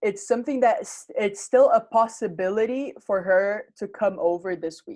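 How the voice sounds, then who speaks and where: A woman's normal speaking voice at a fairly slow pace, with ordinary pitch variation. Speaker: English teacher. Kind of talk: online grammar lesson. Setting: video call.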